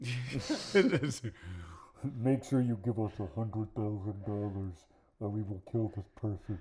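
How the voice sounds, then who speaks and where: Using a put-on character voice, a man speaks at a very slow pace with a fairly low pitch. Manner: menacing.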